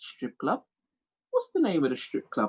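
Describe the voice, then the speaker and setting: The speaker is a man. His voice has a dry, close sound with no echo. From England, Jamaican parent. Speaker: comedian. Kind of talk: stand-up.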